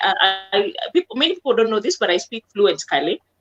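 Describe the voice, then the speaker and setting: Over music in the background, a woman talks at a very fast pace in an animated tone, her fairly high voice making very wide pitch swings in a dry, close sound with no echo. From Kenya, Nakuru, Kisii background. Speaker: comedian. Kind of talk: interview.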